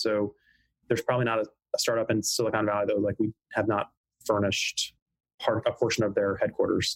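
A man talks at a fairly quick pace with an American accent. His voice is somewhat breathy. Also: dry, close sound with no echo. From US South, coastal South Carolina. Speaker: company founder. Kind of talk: interview. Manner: halting, many fillers.

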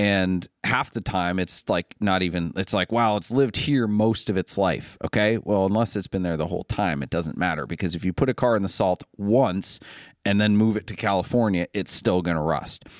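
A normal speaking voice from a man with an American accent, fairly low in pitch with ordinary variation, at a moderate pace, dry and close with no echo, on a very clean recording with a silent background. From Ohio, US Midwest. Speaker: car dealer and podcast host. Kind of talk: casual chat. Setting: studio.

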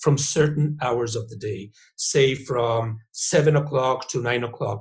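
A man's somewhat breathy voice. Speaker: professor. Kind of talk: interview.

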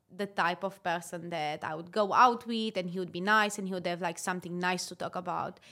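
A woman's bright, sharp voice at a medium pitch, with fairly even intonation, a moderate pace and a very clean recording with a silent background. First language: not English. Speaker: podcast co-host. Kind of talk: casual chat. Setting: Dubai.

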